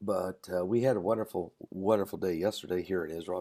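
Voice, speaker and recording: Soft-spoken and dark, mellow in tone, a man speaks at a moderate pace with a very deep, low pitch and fairly even intonation. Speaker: pastor. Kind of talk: live stream talk. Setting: hotel room.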